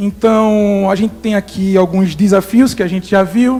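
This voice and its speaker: Noticeable background noise accompanies a speaker with a Recife accent whose intonation is fairly even. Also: man. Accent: Recife (northeastern Brazilian), noticeable. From Brazil, Recife (Pernambuco, Northeast). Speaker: environmental researcher. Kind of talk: conference talk. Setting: workshop with audience.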